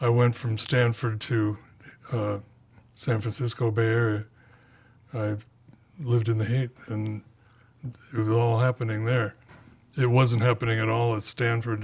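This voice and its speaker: A man with an American accent speaks at a fairly slow pace and medium pitch. His voice is somewhat breathy and his intonation monotone and flat. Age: 80s+. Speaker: author and radio host. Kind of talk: author Q&A at bookstore. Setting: bookstore event with audience.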